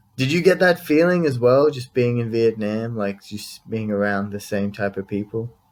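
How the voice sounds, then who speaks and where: Delivered with an Australian accent, the speech has lively intonation, a moderate pace and hardly any pauses. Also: man, medium pitch for a man. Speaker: podcast host. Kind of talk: casual interview chat.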